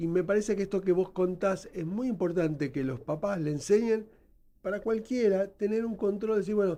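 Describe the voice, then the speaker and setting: A high-pitched man's voice with a dark, mellow tone, ordinary pitch variation and a moderate pace. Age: 60s. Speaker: nurse and educator, founder of a health training institute. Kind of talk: radio interview.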